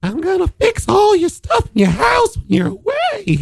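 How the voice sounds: Putting on a character voice with an extremely high pitch, a man speaks at a moderate pace.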